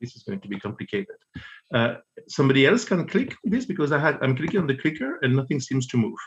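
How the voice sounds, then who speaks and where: Somewhat breathy, a man speaks at a moderate pace. His fairly high voice makes very wide pitch swings. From Belgium. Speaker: economist; presenter. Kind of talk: conference presentation. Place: home room. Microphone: webcam.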